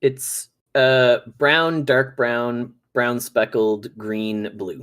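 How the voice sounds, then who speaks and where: A man speaks very slowly at a medium pitch, his intonation fairly even. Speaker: gaming podcast guest. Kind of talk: casual chat.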